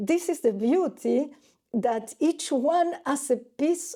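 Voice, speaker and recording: In a non-native accent, a woman speaks very slowly with a dark, mellow tone and lively intonation. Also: very clean recording, silent background. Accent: non-native English, self-described as weak. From Argentina. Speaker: painter. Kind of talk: interview. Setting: artist's studio. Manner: halting.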